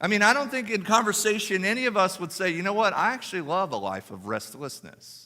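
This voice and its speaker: The recording of this man is very clean, with a silent background. His tone is bright and sharp, and his pace fairly quick. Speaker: pastor. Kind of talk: sermon. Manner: lowered voice over background noise.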